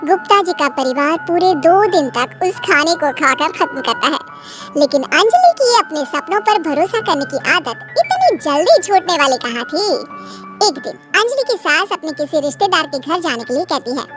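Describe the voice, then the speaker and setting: In a cartoonish character voice, a woman speaks at a moderate pace with high pitch and lively intonation while music plays clearly in the background. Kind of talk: bedtime story narration. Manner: calm, even.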